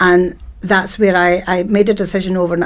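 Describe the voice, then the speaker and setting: Here is a woman with a Dundee accent. Her pitch is fairly low. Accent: Scottish (Dundee). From Scotland, Dundee. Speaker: networking events organiser. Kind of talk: casual interview chat.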